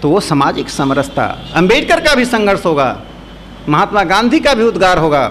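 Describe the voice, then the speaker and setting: Amid noticeable background noise and audible room echo, a man speaks with a Bihari accent at a moderate pace. His voice is high for a man, with very wide pitch swings and very even loudness. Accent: Bihari Hindi, people notice it. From Bihar, India. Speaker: speaker at a seminar. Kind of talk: lecture.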